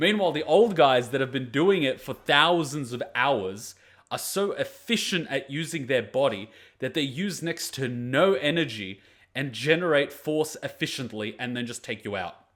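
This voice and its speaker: In a very clean recording with a silent background, a man with a fairly high pitch speaks at a moderate pace with lively intonation. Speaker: anime reaction youtuber. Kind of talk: casual reaction commentary. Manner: loud; clear articulation, projected voice.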